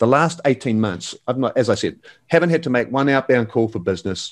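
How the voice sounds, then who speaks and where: A man talks at a fairly quick pace. Behind him, the background stays quiet. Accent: New Zealand. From New Zealand. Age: 50s. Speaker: real estate agent and coach. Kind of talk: interview. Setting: remote call. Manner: animated.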